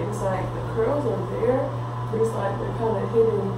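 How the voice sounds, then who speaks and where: A woman speaks amid loud background noise and audible room echo. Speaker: beauty vlogger. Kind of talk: casual vlog chat. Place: bathroom.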